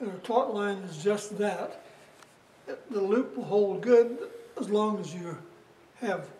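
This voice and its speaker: A man speaks in a high pitch. His intonation is fairly even. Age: 80s+. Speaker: Scoutmaster. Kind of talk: instructional demonstration.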